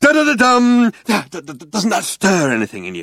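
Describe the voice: A man uses a put-on character voice, high-pitched with a fairly bright tone and very wide pitch swings. He talks at a fairly quick pace in a very clean recording with a silent background.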